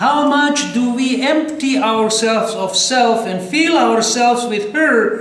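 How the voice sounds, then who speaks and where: Over noticeable background noise and audible room echo, a man with an extremely high pitch speaks very slowly in a Ukrainian accent with ordinary pitch variation. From Croatia. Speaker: preacher. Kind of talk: sermon.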